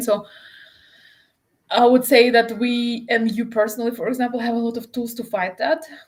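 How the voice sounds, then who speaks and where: The speech moves at a fairly quick pace in a Russian accent. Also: woman. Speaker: interview guest. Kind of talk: casual conversation. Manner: halting.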